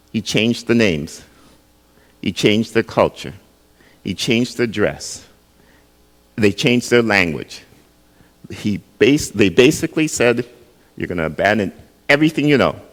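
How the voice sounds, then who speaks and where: A man's voice shows vocal fry and lively intonation. He leaves long, frequent pauses. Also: medium pitch for a man, moderate pace. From Jamaica, raised in Canada from early childhood. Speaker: pastor. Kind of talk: sermon. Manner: conversational, asks the audience questions.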